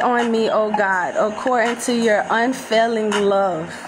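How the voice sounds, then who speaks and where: The woman speaks at a very slow pace with a fairly high pitch. There is noticeable background noise. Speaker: religious vlogger leading prayer. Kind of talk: fervent prayer. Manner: earnest, pleading, fervent. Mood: emotional, fervent. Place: home room. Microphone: phone near.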